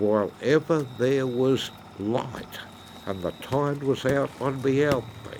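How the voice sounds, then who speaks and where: A man speaks at a very slow pace in a medium pitch with ordinary pitch variation, with noticeable background noise behind him. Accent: strong Australian. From Australia, Hawkesbury River NSW. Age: 80s+. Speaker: oyster farmer. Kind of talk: interview.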